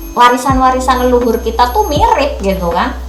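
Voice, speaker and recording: Music plays behind a woman with a Javanese accent. Audible room echo surrounds her voice. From Central Java, Indonesia (Solo, Yogyakarta). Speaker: jamu business owner. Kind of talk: casual interview chat. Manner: hesitant, with many fillers.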